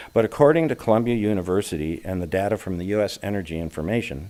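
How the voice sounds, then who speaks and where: A man with a fairly low pitch delivers his words at a fairly quick clip. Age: 70s. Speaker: lay speaker at a congregation. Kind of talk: sermon-style talk.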